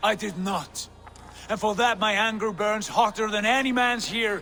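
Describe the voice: A man puts on a character voice, high-pitched with a bright, sharp tone and vocal fry. He keeps a moderate pace and fairly even intonation.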